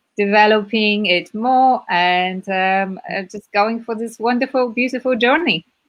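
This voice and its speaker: A woman's fairly high voice in a Polish accent, fairly slow yet with hardly any pauses, with ordinary pitch variation. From Poland. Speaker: community team member, entrepreneur. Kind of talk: self-introduction in online discussion. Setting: live video stream.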